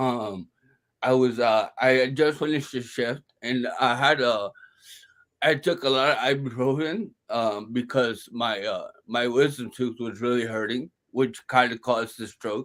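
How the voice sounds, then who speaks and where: A man with an American accent talks at a fairly slow pace in an ordinary speaking voice, with fairly even intonation, in a very clean recording with a silent background. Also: medium pitch for a man. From Brooklyn, New York. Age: 30s. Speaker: stroke survivor, stand-up comedian. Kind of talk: interview answer.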